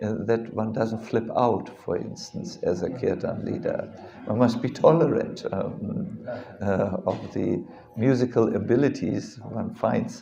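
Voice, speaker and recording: In a German accent, a man talks at a fairly slow pace with audible room echo. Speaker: monk and spiritual teacher. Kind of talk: religious lecture. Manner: halting, with many fillers and repetitions.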